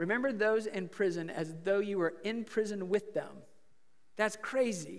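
Against a quiet background, a man speaks at a moderate pace with fairly even intonation. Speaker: preacher. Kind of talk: sermon. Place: church.

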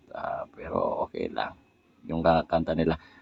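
A man at a fairly slow pace. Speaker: vlogger / content creator. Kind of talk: casual tutorial vlog. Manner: halting, frequent fillers.

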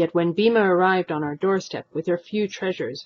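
A reading voice that sounds natural

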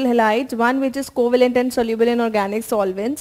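A woman at a very fast pace, with fairly even intonation. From India. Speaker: chemistry teacher. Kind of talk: tutorial. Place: studio.

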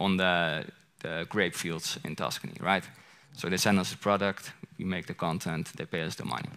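A man with a strong Dutch accent speaks in a bright, sharp tone with fairly even intonation. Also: quiet background. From Netherlands. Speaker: content creator. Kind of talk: conference presentation. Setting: stage with audience. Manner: casual. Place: stage. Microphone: headset.

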